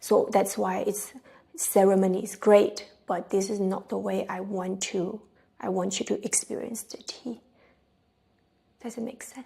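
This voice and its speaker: A woman with a Chinese accent speaks fairly slowly, with long, frequent pauses and big swings in loudness. Her dark, mellow tone carries vocal fry and fairly even intonation. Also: medium pitch for a woman. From China. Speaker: tea practitioner. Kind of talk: interview answer.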